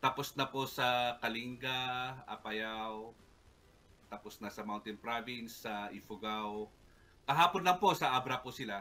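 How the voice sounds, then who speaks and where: Loudness swings widely as a man speaks at a fairly slow pace with ordinary pitch variation. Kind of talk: interview answer. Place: home room. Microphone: earbuds.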